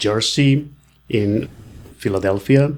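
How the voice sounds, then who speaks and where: A man with a Mexican accent and ordinary pitch variation. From Mexico. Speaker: real estate agent. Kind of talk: podcast interview. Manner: halting.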